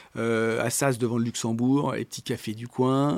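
A man at a medium pitch and a fairly slow pace. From Paris area, France. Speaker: company CEO. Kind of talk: interview. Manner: animated; halting.

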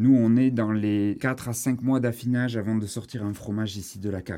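A medium-pitched man speaks with a dark, mellow tone and ordinary pitch variation. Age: 30s. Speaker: shepherd and cheese farmer. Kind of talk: guided farm tour.

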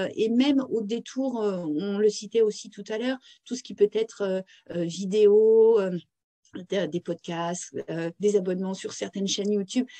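A woman's medium-pitched voice with a dark, mellow tone, at a very slow pace, with ordinary pitch variation, big swings in loudness and a dry, close sound with no echo. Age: 40s. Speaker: career consultant and author. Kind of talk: interview. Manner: hesitant, repeats words.

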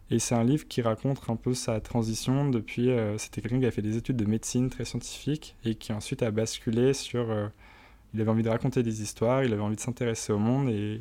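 A man's dark, mellow, medium-pitched voice moves at a very fast pace in a monotone, flat intonation, on a very clean recording, silent background. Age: 20s. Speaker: startup co-founder. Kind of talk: interview. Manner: hesitant, many fillers.

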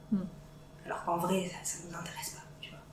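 A woman talks with flat, monotone intonation over noticeable background noise and audible room echo. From northern France. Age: 30s. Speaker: learning techniques trainer. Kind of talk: casual chat.

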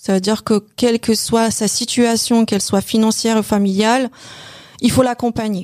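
This woman speaks with a Polish accent. Her pitch is fairly high and her intonation monotone and flat. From Poland. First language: Polish (speaking French). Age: 50s. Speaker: bank advisor, former hairdresser and store manager. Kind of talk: interview about career change. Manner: hesitant, with repetitions.

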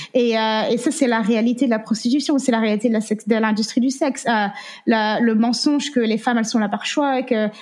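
Fairly high in pitch, a woman with an American accent talks at a fairly quick pace, with very even loudness and fairly even intonation. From France. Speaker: anti-trafficking activist and survivor. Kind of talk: interview testimony. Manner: halting.

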